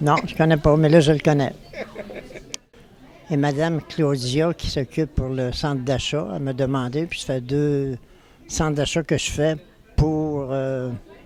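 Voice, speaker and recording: With crowd noise in the background, a man with a fairly high pitch speaks in a fairly even tone, leaving long, frequent pauses. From Quebec City, Quebec. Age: 80s+. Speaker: photographer. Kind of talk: interview. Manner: halting.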